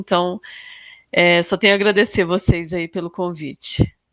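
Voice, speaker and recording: A woman with a Minas Gerais accent speaks at a moderate pace and fairly low pitch. Her intonation is monotone and flat, and the recording is very clean with a silent background. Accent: mineiro (Minas Gerais). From Minas Gerais, Brazil (Arcos). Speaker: sustainability coordinator in mining. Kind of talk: podcast interview. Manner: hesitant, many fillers.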